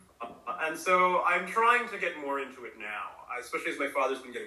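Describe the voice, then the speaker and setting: A man speaks fairly quickly, his voice carrying audible room echo amid noticeable background noise. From US, partly raised in Chennai, India. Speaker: university lecturer in Sanskrit and Tamil. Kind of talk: interview conversation. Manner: hesitant, many fillers.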